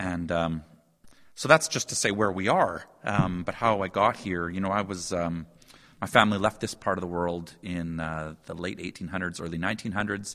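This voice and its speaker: This man has a very deep, low pitch, a bright, sharp tone and a Canadian Prairies accent. He speaks at a moderate pace with ordinary pitch variation. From Saskatchewan, Canada. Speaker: professor. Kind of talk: casual chat.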